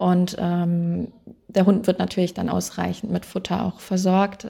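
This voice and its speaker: A woman with a medium-pitched, dark, mellow, somewhat breathy voice speaks at a moderate pace on a very clean recording with a silent background. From western Germany, Wuppertal (NRW). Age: 30s. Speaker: animal welfare volunteer. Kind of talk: interview. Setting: animal shelter in Romania.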